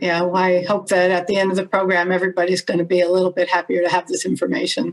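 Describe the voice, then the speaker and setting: Over noticeable background noise, a woman with an American accent talks at a very fast pace with hardly any pauses, keeping medium pitch, fairly even intonation and very even loudness. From United States. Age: 60s. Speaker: human rights advocate. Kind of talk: podcast interview.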